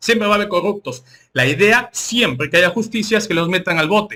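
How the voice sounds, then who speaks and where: A raised, projected voice with a bright, sharp tone comes through in a very clean recording with a silent background. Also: man. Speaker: political commentary youtuber. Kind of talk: political commentary.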